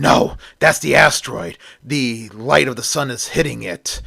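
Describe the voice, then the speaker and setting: Putting on a character voice, a man speaks with a raspy sound at a medium pitch. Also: moderate pace. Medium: read story.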